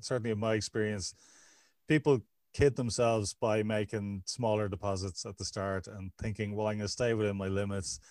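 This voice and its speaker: A plain, everyday voice from a man, fairly low in pitch, fairly quick, with fairly even intonation, dry and close with no echo on a very clean recording with a silent background. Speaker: podcast host and addiction counselor. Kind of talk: interview conversation.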